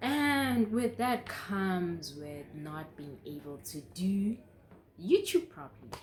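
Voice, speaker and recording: A woman's somewhat breathy voice at medium pitch, very slow in pace, with very wide pitch swings and big swings in loudness. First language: not English. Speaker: YouTuber. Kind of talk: casual chat. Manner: halting.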